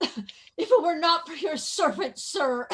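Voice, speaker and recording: An extremely high pitch marks this put-on character voice. It moves at a fairly slow pace. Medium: stage play.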